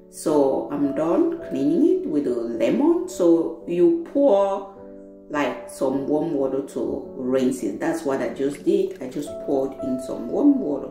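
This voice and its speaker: At a very slow pace, the voice comes with audible room echo and clear music in the background. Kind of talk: tutorial. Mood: warm, friendly. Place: kitchen.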